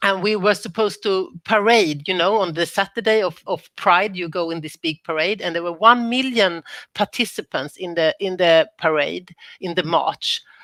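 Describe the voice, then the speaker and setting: On a very clean recording with a silent background, a woman's voice sounds dry and close with no echo, and her pitch varies in an ordinary way. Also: medium pitch for a woman, moderate pace. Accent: Swedish. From Sweden. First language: Swedish. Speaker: former government minister, panelist. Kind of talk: panel discussion.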